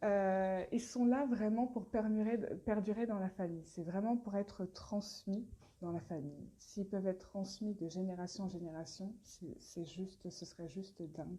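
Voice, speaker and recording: A woman speaks with a dark, mellow tone. Her fairly slow delivery is somewhat breathy. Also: medium pitch for a woman, ordinary pitch variation. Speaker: brand founder presenting products. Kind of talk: live stream Q&A. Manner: hesitant, many fillers.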